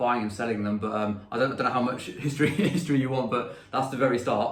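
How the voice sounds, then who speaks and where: A man's fairly even intonation with audible room echo. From England. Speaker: pedal maker and musician. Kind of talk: interview.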